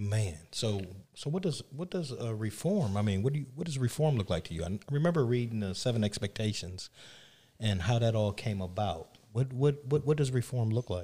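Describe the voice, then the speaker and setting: Speaking with an American accent, a man has a dark, mellow tone that is somewhat breathy. His intonation is lively, and his pace is moderate. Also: medium pitch for a man. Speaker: podcast co-host. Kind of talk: interview.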